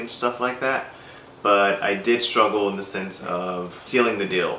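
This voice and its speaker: Fairly low pitch from a man at a fairly slow pace, with ordinary pitch variation, audible room echo and noticeable background noise. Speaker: vlogger sharing personal progress. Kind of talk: personal video diary. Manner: hesitant, many fillers.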